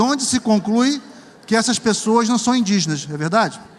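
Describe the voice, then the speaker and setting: A man's high-pitched voice with lively intonation at a moderate pace, over noticeable background noise. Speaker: professor and researcher. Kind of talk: lecture. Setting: auditorium with audience and interpreters.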